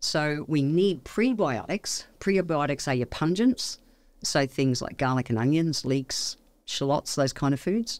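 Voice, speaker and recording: A speaker with an Australian accent uses lively intonation. The recording is very clean, with a silent background. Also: woman, very deep, low pitch for a woman. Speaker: naturopath. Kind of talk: casual interview chat. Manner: fast; animated.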